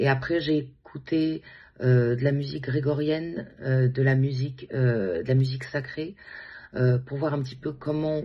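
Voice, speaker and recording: A woman's somewhat breathy, very deep, low voice at a fairly slow pace with ordinary pitch variation. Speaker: singer and music therapist. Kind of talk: interview. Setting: at home.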